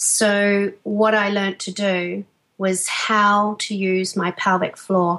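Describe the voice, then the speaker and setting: A woman with an Australian accent speaks very slowly at a medium pitch in a flat monotone. Her tone is bright and sharp, and the background is quiet. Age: 40s. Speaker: fitness trainer, former teacher. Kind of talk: interview.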